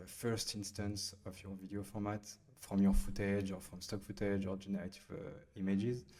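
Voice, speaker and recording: With a French accent, a man speaks at a moderate pace and fairly low pitch, his intonation flat and monotone but his loudness swinging widely. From France. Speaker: startup founder and CEO. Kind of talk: software tutorial. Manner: hesitant, many fillers.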